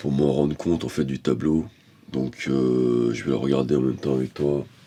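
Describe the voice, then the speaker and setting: This man has a very deep, low pitch and fairly even intonation, with noticeable background noise behind him. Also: moderate pace. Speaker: painter. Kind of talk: casual talk to camera about painting. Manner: soft-spoken; halting, many hesitations.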